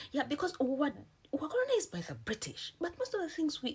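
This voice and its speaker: A woman in a Ugandan accent with an animated tone, vocal fry and very wide pitch swings. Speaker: vlogger. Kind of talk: casual chat.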